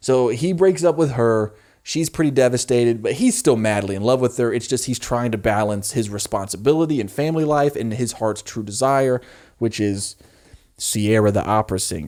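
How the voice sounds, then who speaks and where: A man at medium pitch and moderate pace, with ordinary pitch variation and an ordinary speaking voice, on a very clean recording with a silent background. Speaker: YouTuber reacting to a TV show. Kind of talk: casual commentary to camera.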